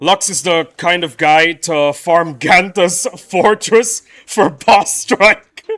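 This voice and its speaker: A man with an American accent, a high pitch, ordinary pitch variation and a very slow pace, with music in the background. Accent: sounds American. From Indonesia, raised among Americans. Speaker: gaming streamer. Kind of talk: live stream chat. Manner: animated.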